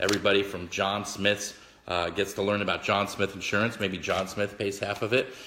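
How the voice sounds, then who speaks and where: With a bright, sharp tone and fairly low pitch, a man talks at a fairly quick pace. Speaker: motivational speaker and author. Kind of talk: live stream talk to viewers. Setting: Facebook live video. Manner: slightly slurred words; casual, halting with fillers.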